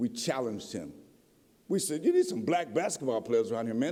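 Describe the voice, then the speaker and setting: A man speaks with an American accent. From Appalachian Kentucky (Harlan County coal country). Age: 70s. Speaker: professor and author. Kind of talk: lecture. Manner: animated.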